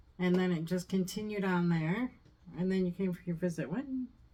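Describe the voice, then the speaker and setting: With an American accent, somewhat breathy speech moves at a moderate pace with ordinary pitch variation. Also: woman. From US. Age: 50s. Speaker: mother-in-law, co-host. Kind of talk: casual chat.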